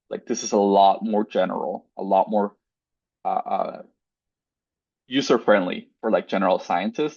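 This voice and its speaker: A man talks at a moderate pace with a Spanish accent. The background is quiet and the sound is dry and close, with no echo. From Mexico. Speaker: postdoctoral researcher. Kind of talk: webinar lecture. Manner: casual, filler-heavy.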